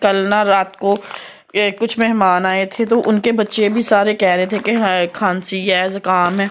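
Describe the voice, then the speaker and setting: Woman's voice at medium pitch, flat and monotone, at a fairly slow pace. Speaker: family vlogger. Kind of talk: casual vlog talk to camera.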